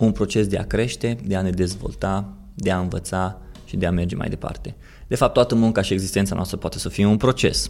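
A man with an unremarkable speaking voice talks at a fairly quick pace and fairly low pitch, with ordinary pitch variation. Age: 30s. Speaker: podcast host, marketer. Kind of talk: personal monologue.

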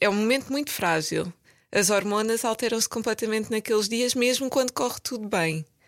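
In a very clean recording with a silent background and a dry, close sound with no echo, a woman with a plain, everyday voice speaks fairly quickly at a fairly high pitch with ordinary pitch variation. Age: 30s. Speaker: medical advisor in pharma. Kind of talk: casual chat.

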